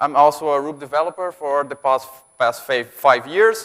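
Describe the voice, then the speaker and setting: With a Brazilian accent, a man speaks at a fairly high pitch. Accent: Brazilian, noticeable. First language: Portuguese. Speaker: software developer, conference speaker. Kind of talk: conference talk. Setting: stage with audience. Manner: halting.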